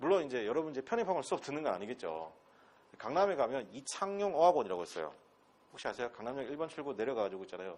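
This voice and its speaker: This man talks very fast at a medium pitch, his voice swinging very widely up and down and dipping into vocal fry. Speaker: English instructor. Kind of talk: lecture. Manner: animated.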